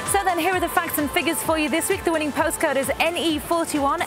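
Over clear background music, a woman with an extremely high voice talks with hardly any pauses, ordinary pitch variation and a dry sound with no echo. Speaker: lottery presenter. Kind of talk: presenter piece to camera. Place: waterside.

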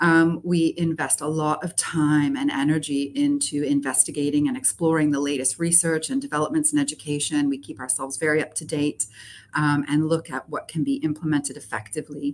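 At a fairly quick pace with hardly any pauses, a woman speaks in a very deep, low pitch. Her intonation is fairly even, over light background noise. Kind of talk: interview answer. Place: office.

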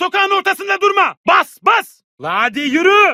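Extremely high-pitched put-on character voice from a man, delivered at a moderate speed. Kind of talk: video game dubbing. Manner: shouted combat callouts.

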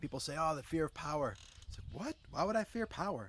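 A man speaks with lively intonation and vocal fry. Light background noise sits behind him. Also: dry sound with no echo. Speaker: self-development coach. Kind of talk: casual vlog chat answering a reader question. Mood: earnest, reflective, animated. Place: garden. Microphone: phone near.

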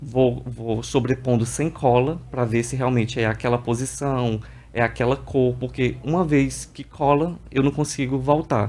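Here a man talks at a medium pitch and a moderate pace. His intonation is fairly even. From Piauí, Brazil (Parnaíba); Piauí, Brazil. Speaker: visual artist; guest. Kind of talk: TV interview. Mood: calm, explanatory. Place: studio. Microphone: studio mic.

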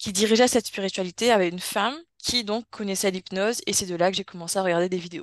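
In a quiet background, a woman talks at a very fast pace with ordinary pitch variation and a dry sound with no echo. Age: 20s. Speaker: hypnosis subject, osteopath; interviewee. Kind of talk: personal testimony. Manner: halting, many hesitations. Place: home room. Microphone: video call.

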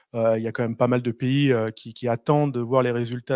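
A man at a moderate pace, flat and monotone, in a dry sound with no echo against a quiet background. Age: 30s. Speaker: engineering consultant; presenter. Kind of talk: presentation. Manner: halting. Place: meeting room. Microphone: handheld.

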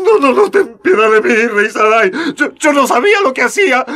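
A man puts on a character voice with an extremely high pitch, big pitch swings, a bright, sharp tone and a fairly quick pace.

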